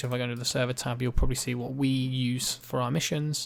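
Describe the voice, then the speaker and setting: Recorded very cleanly against a silent background, a man talks at a very fast pace with a medium pitch. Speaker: gaming community tutorial maker. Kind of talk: tutorial.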